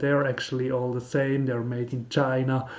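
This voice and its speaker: A man talks with a Swiss German accent. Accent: non-native English, Swiss German. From Switzerland. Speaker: car hobbyist YouTuber. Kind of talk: tutorial. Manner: halting, many fillers.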